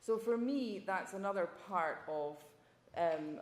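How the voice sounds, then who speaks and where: A woman with a Scottish accent speaks with ordinary pitch variation. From Scotland. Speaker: journalism professor, former foreign correspondent. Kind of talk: panel talk.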